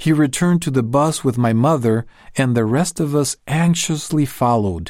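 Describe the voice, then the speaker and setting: A man's medium-pitched voice, dark and mellow in tone, with lively intonation, on a very clean recording with a silent background. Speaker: narrator reading a magazine article. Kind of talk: reading aloud. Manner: formal.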